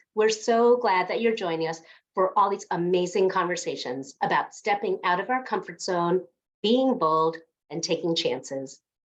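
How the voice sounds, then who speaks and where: At a moderate pace, a woman speaks in an ordinary speaking voice at medium pitch. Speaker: podcast host. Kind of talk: podcast intro.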